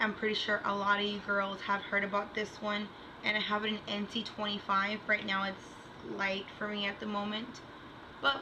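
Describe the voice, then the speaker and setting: A woman at medium pitch in a flat monotone, moderate pace, with noticeable background noise and audible room echo. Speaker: beauty vlogger. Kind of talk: product review.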